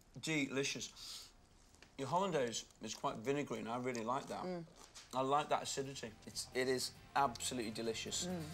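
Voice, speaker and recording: A man talks at a fairly quick pace with ordinary pitch variation while faint music plays in the background. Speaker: TV chef host. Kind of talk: cooking show tasting commentary. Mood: warm, appreciative. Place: kitchen.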